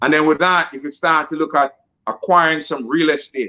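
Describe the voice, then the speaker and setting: A man with a fairly high pitch and a bright, sharp tone talks at a fairly quick pace. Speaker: financial coach. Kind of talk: sales pitch. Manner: fast.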